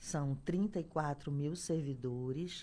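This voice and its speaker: A woman speaks with a strong Pernambuco accent at a very deep, low pitch. Her tone is dark and mellow, with ordinary pitch variation. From Brazil, Pernambuco (Caruaru). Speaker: health official. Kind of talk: radio interview. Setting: radio studio. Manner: hesitant, many fillers. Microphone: too far from microphone at start.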